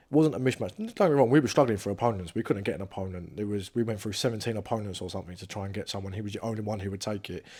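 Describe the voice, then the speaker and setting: With an English accent, a man speaks at a very fast pace with hardly any pauses, his fairly low voice dark and mellow, showing ordinary pitch variation and big swings in loudness on a very clean recording with a silent background. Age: 20s. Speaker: professional boxer. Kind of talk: interview. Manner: casual.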